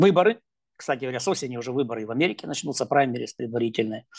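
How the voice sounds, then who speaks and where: With lively intonation, a man talks at a very fast pace against a quiet background. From Ukraine. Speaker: political analyst. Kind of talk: interview. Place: home room. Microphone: earbuds.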